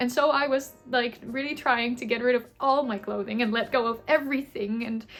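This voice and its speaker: Here a woman talks with a high pitch and fairly even intonation. Her pace is moderate, with hardly any pauses. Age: 20s. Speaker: content creator. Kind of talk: casual vlog chat. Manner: rambling, chatty.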